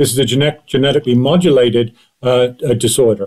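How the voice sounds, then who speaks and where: A man with an American accent and a dark, mellow tone talks at a fairly quick pace. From Great Britain. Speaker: addiction psychiatry professor. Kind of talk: interview. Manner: hesitant, many fillers.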